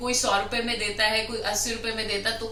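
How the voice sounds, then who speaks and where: Music can be heard behind a woman. Her voice sits at a medium pitch. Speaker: anchor and professional voice artist. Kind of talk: casual vlog talk to camera. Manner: enthusiastic, chatty.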